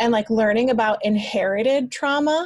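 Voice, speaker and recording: A woman with a fairly high pitch speaks at a moderate pace in a somewhat breathy voice. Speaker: email marketing business owner. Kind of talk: interview conversation.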